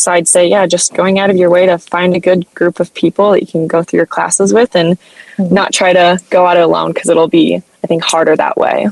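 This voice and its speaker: With monotone, flat intonation and very even loudness, a woman speaks in an American accent, the sound dry and close with no echo. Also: fairly low pitch for a woman, fairly quick pace. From US Midwest, southern Iowa. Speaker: dietetics student. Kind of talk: interview. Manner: hesitant, many fillers.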